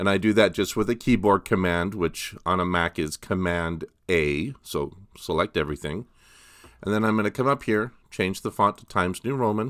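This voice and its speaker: A man speaks at a moderate pace in a very deep, low voice. The recording is very clean, with a silent background and a dry, close sound with no echo. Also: ordinary pitch variation. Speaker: college English instructor. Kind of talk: tutorial. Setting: outdoors on a mountain. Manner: casual, hesitant with fillers; mumbling at times.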